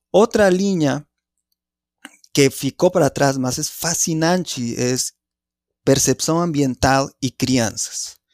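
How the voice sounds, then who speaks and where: A man with a Spanish accent, fairly high pitch and ordinary pitch variation, at a very slow pace with long, frequent pauses, in a very clean, dry, close recording with a silent background and no echo. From Mexico, Mexico City. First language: Spanish (speaking Portuguese). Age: 40s. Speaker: anthropology professor. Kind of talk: interview. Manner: halting.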